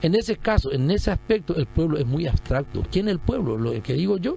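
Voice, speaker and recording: There is music in the background. A man speaks at a high pitch. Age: 60s. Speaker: retired general, presidential pre-candidate. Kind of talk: radio interview. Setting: radio studio.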